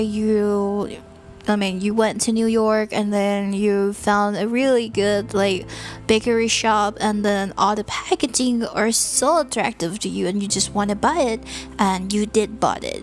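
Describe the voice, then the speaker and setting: Against background music, a woman with a Thai accent speaks at a fairly slow pace with a fairly high pitch. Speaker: sleep talk channel host. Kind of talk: casual monologue to help listeners sleep. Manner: deliberately slow; calm.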